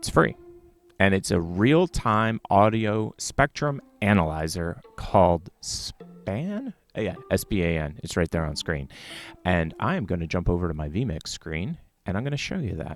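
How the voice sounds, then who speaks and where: A man with a very deep, low voice speaks at a fairly slow pace with lively intonation. The sound is dry with no echo, and faint music plays in the background. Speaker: live streaming tech show host. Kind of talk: tutorial. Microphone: studio mic.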